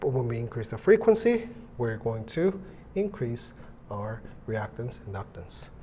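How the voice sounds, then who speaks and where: Over noticeable background noise and audible room echo, a man speaks at a fairly slow pace with long, frequent pauses. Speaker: electronics teacher. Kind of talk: lecture. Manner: casual, hesitant with fillers.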